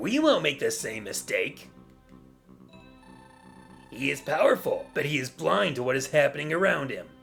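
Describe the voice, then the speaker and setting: A man's gruff, put-on character voice at a moderate pace, with long, frequent pauses and music in the background. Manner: stern, commanding.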